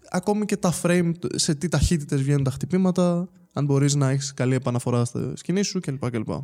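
The man has a fairly high pitch and a dark, mellow tone. He talks at a moderate pace with ordinary pitch variation. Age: 20s. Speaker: esports world champion, fighting game player. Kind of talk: casual chat. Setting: studio.

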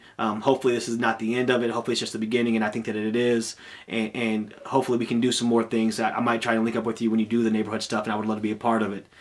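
A very fast, monotone man in an American accent, medium in pitch, with hardly any pauses. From Peoria, Illinois. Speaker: podcast host. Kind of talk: casual interview.

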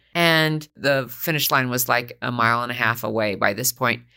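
A woman speaks at a moderate pace in a bright, sharp tone with ordinary pitch variation. The recording is very clean, with a silent background. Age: 60s. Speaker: former personal trainer. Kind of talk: casual chat.

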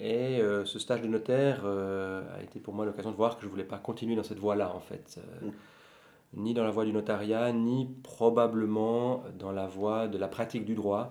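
A man's fairly low, dark, mellow voice moves at a fairly slow pace with monotone, flat intonation. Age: 40s. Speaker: bookseller and law scholar. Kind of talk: casual chat.

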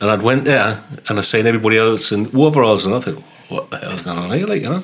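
There is noticeable background noise behind the recording. Over it, a man talks very fast with ordinary pitch variation. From northeast England, Sunderland. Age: 50s. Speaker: army veteran. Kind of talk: casual chat.

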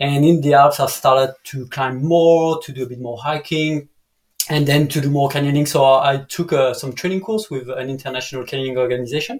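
Somewhat breathy and with a French accent, a man speaks at a fairly quick pace in a fairly high voice, his intonation fairly even but his loudness swinging widely. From France, Dijon. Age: 30s. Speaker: canyoning guide. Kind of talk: casual chat. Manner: halting.

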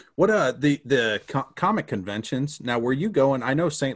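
Using an ordinary speaking voice, a man talks at a moderate pace and medium pitch, with lively intonation. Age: 30s. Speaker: podcast co-host. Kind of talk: casual chat.

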